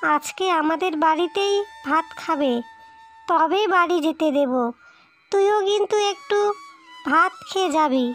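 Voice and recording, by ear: A woman speaks at a fairly slow pace in a cartoonish character voice, her pitch extremely high and her loudness very even, with faint music in the background.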